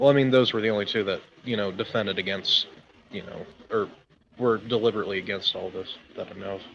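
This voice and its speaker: A man with an American accent talks at a very fast pace, with fairly even intonation, big swings in loudness and long, frequent pauses. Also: fairly low pitch for a man. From US South. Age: 20s. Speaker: caller. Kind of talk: casual debate.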